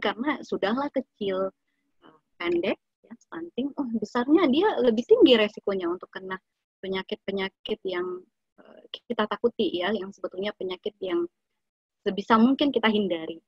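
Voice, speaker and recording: Speech comes at a moderate pace with lively intonation. The loudness swings widely, and the voice is somewhat breathy. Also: woman. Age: 30s. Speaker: nutritionist giving an Islamic study talk. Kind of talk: lecture; Q&A answers.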